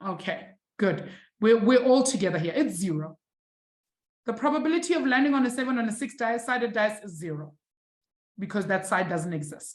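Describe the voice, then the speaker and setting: A fairly high, somewhat breathy woman's voice, animated in tone, with very wide pitch swings, a fairly quick pace and long, frequent pauses. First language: not English. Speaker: maths teacher. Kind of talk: online live lesson. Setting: live-streamed online class.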